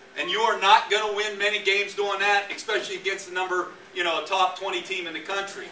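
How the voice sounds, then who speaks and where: A man's raised, projected voice with a western Pennsylvania accent, high in pitch, fairly even in intonation and fairly quick, amid noticeable background noise and audible room echo. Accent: Punxsutawney (western Pennsylvania). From Pennsylvania, Punxsutawney. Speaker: college football head coach. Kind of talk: speech to a crowd. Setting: pub with live audience.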